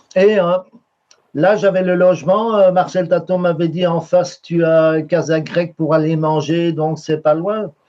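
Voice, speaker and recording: Here is a man with a high-pitched voice. He speaks fairly slowly in a flat monotone. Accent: Brussels. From Belgium, Brussels. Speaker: painter. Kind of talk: interview. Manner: halting, many fillers and repetitions.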